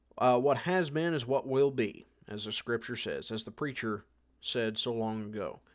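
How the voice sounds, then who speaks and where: On a very clean recording with a silent background, a man with an American accent speaks at a moderate pace in a medium pitch with ordinary pitch variation. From United States. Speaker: podcast host. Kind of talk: casual monologue and interview. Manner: hesitant, many fillers.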